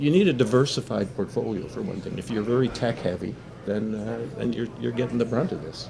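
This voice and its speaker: A man speaks at a medium pitch and a fairly quick pace. His pitch varies ordinarily over noticeable background noise. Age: 70s. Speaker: business writer. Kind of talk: casual chat.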